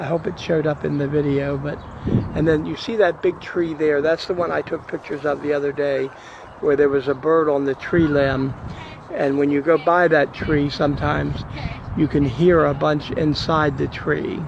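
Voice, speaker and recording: Quietly and at a moderate pace, a man speaks with a fairly high pitch and fairly even intonation over noticeable background noise. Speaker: video blogger. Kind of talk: casual narration of home video. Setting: outdoors. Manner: quiet, hushed.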